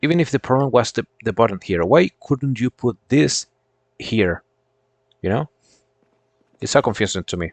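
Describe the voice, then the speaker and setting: A man with a non-native accent speaks at a medium pitch and moderate pace, his intonation lively and his pauses long and frequent. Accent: foreign accent, non-American. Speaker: gaming streamer. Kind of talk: casual gameplay commentary. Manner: halting, repeats words.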